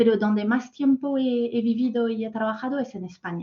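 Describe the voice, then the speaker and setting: A woman speaks with a French accent in a fairly high, somewhat breathy voice. Her pitch varies in an ordinary way. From France. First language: French (speaking Spanish). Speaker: corporate talent manager. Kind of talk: masterclass talk. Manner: hesitant, many fillers.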